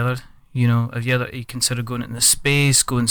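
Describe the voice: The clip consists of plain reading aloud.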